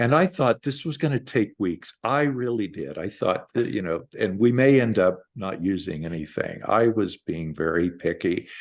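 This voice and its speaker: At a moderate pace and a medium pitch, a man speaks with hardly any pauses. His pitch swings very widely against a quiet background. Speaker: memoir author. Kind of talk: book launch conversation. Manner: halting, repeats words.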